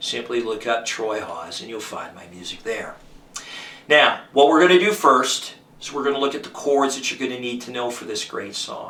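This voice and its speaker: Audible room echo and noticeable background noise surround a man at medium pitch. His intonation is lively, and his loudness swings widely. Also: moderate pace. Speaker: guitar teacher and musician. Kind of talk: tutorial.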